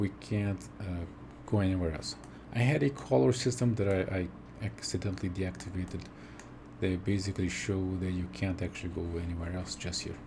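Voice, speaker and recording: A man talks at a fairly quick pace with lively intonation. His pitch is very deep and low. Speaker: game tool developer. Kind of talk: software demo. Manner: whispered, soft; halting, many fillers.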